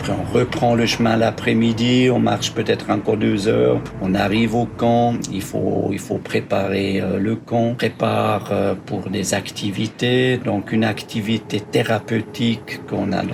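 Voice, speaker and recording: A man with a slight Swiss German accent, fairly low pitch and ordinary pitch variation at a fairly slow pace, over noticeable background noise. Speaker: social worker and therapeutic camp organizer. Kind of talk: interview explanation. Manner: hesitant with fillers.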